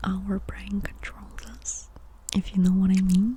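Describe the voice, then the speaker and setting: A soft-spoken voice whispers. Background noise is noticeable. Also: woman. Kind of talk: ASMR rumble about mental health, soft speaking and whispering. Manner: soft-spoken, whispering.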